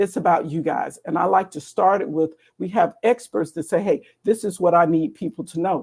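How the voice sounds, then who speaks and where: A woman with an American accent speaks in a fairly low voice with a dark, mellow tone and ordinary pitch variation. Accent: Southern US accent, comes and goes. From US South, Atlanta, Georgia. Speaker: cybersecurity education program director. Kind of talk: webinar presentation walking through slides. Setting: live online stream.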